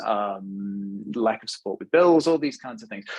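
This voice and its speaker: With a British accent, a man speaks at a medium pitch with ordinary pitch variation. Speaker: webinar presenter, fashion technology consultant. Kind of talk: webinar presentation. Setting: online webinar. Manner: fluent with frequent fillers and repetitions.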